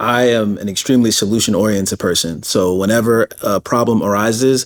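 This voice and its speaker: Here is a man with an ordinary speaking voice and fairly low pitch. He talks at a fairly quick pace with fairly even intonation. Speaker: interview host. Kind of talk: interview question.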